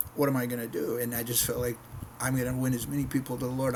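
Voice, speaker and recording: A man's medium-pitched voice with an American accent, over noticeable background noise. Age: 60s. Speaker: missionary preacher. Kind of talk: casual devotional talk to camera. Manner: conversational with frequent repetitions.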